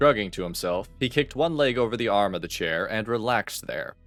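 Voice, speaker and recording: A man at a moderate pace with lively intonation, music in the background. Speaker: voice actor. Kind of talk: audiobook narration.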